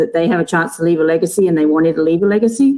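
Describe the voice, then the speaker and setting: A woman with a dark, mellow tone keeps her intonation fairly even. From England. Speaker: college basketball coach. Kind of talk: interview.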